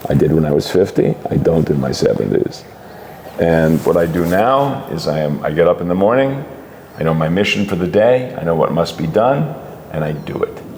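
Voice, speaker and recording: Lively intonation at a moderate pace over noticeable background noise. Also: man. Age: 70s. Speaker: comic book writer and artist. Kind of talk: interview. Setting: comics convention.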